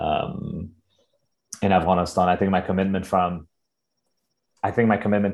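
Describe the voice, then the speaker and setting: Over a quiet background, a man talks at a moderate pace with an American accent. His pitch is very deep and low. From US, Northern Virginia. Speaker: organizer and photographer. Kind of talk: interview.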